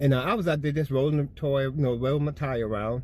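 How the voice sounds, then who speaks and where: A man speaks at a very fast pace and a fairly high pitch. His voice is somewhat breathy. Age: 60s. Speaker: spiritual storyteller. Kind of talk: personal testimony. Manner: casual, conversational.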